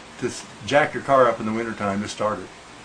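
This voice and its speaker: With lively intonation and an American accent, a man talks amid noticeable background noise. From Illinois, US Midwest. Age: 80s+. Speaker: Model T restorer. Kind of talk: casual interview. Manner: halting.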